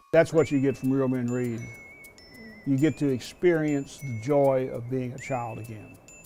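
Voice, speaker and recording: With music in the background, the voice moves at a moderate pace with fairly even intonation and big swings in loudness. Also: man, medium pitch for a man. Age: 70s. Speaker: school reading volunteer. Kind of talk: interview.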